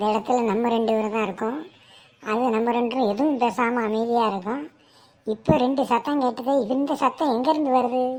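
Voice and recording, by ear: A woman uses a cartoonish character voice with a high pitch at a moderate pace. Her intonation stays fairly even.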